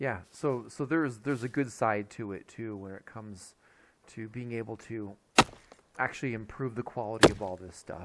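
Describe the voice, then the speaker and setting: A man speaks at a moderate pace with ordinary pitch variation and big swings in loudness. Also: medium pitch for a man. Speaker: gaming YouTuber. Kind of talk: casual channel update. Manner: halting, many fillers.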